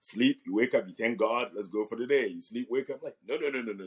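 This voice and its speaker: At a very fast pace, a man talks in an animated tone with lively intonation. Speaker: physical therapist and real estate agent, marriage talk guest. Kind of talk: interview conversation. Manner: loud.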